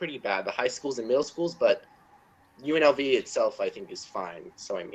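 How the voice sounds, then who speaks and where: A man speaks with a General American accent. His pace is moderate. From Nevada, Las Vegas. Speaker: college student. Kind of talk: casual chat. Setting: video call.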